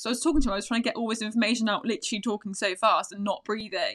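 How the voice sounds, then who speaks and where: A woman speaks at a very fast pace in a fairly high pitch on a very clean recording with a silent background. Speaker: fitness podcast co-host. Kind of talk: casual chat.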